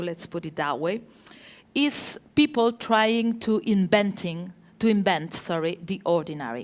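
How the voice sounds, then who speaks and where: A woman with a Spanish accent at a fairly slow pace, on a very clean recording with a silent background. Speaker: architecture journalist. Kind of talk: panel talk with slides. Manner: hesitant, many fillers.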